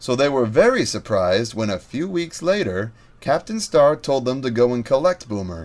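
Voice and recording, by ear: A natural voice reading aloud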